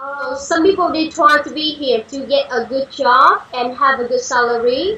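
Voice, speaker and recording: With a Vietnamese accent, a woman uses a raised, projected voice at a high pitch, with ordinary pitch variation and a moderate pace over noticeable background noise. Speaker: English learner on call-in show. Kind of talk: casual discussion. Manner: halting, many fillers.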